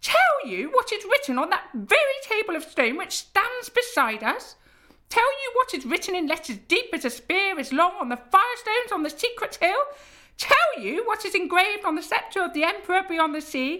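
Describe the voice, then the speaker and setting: Using a put-on character voice, a woman speaks at a moderate pace in an extremely high, shrill pitch with very wide pitch swings. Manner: accusing, triumphant.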